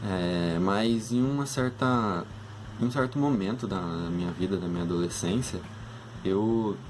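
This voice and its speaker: Audible room echo surrounds a man speaking at a fairly low pitch with ordinary pitch variation. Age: 20s. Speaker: engineering student. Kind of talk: casual talk to students about a career. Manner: hesitant, many fillers.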